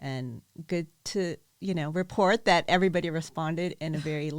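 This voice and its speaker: This woman has a fairly low pitch and talks at a moderate pace. It is a plain, everyday voice. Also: very clean recording, silent background. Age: 50s. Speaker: event organizer and coach. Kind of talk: casual chat.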